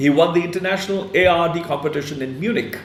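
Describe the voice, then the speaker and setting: A man speaks at a high pitch. The recording has audible room echo and noticeable background noise. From India, Punjab. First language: Punjabi. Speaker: online interview host. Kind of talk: interview introduction. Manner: halting, many fillers.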